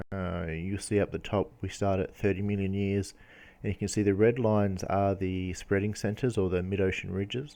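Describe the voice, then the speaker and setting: Here a man speaks with an Australian accent at a fairly low pitch and a moderate pace. His tone is dark and mellow, his intonation flat and monotone, against a quiet background. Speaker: geology educator. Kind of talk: lecture. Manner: halting, many fillers.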